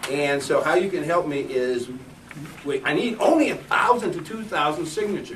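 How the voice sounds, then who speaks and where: A man speaks at a moderate pace with a fairly high pitch and lively intonation. Noticeable background noise runs through the clip. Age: 60s. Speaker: political candidate and activist. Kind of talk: campaign speech at meeting. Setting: meeting room with audience. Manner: halting.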